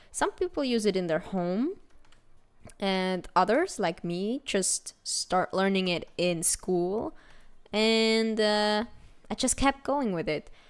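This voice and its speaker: In a very clean recording with a silent background, a woman with a Swiss German accent speaks at a very slow pace, her fairly high pitch moving with lively intonation. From Switzerland (German-speaking). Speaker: gaming video creator. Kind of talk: casual let's-play commentary.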